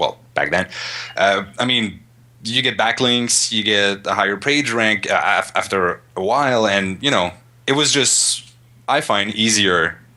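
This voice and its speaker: A man with a Montreal accent, fairly low in pitch, fairly slow, with a bright, sharp tone. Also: ordinary pitch variation. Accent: Canadian English (Montreal). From Montreal, Canada. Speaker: web designer. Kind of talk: interview answer.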